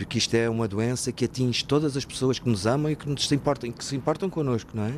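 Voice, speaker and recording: Talking at a very fast pace, a man speaks with hardly any pauses. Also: medium pitch for a man, ordinary pitch variation. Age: 50s. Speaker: former patient in alcohol recovery. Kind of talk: testimony. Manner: halting.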